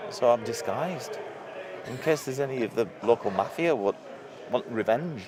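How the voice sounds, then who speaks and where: Noticeable background noise sits behind a man of medium pitch who talks at a moderate pace with very wide pitch swings. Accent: northeast English. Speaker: live stream co-host. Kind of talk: casual chat. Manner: halting.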